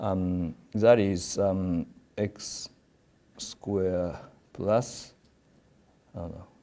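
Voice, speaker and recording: In a Japanese accent, a man with a very deep, low pitch and a dark, mellow tone speaks very slowly with fairly even intonation, big swings in loudness and long, frequent pauses. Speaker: professor. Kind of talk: lecture. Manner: halting, many fillers.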